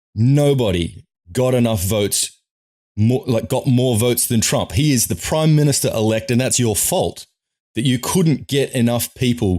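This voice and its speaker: Very clean with a silent background, the recording has a man of medium pitch speaking with a slight Australian accent at a moderate pace. His tone is animated and his intonation lively. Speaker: political commentator, vlogger. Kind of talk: opinion rant to camera. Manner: emphatic, animated.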